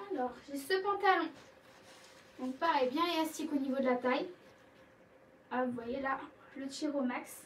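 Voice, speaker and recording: High in pitch, a woman's voice varies in an ordinary way as she talks at a fairly slow pace. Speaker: clothing seller. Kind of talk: live sales stream. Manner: animated.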